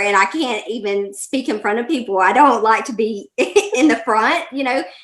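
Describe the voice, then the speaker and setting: A woman with a Southern US accent talks at a moderate pace in a high pitch with lively intonation. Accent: Southern US, country twang. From Alabama, US South (Birmingham). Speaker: life coach. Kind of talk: interview.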